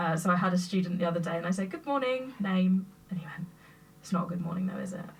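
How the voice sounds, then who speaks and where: Over noticeable background noise, a woman talks at a very fast pace with ordinary pitch variation. Her loudness swings widely. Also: medium pitch for a woman. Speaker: teacher. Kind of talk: casual chat. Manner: loud and clear.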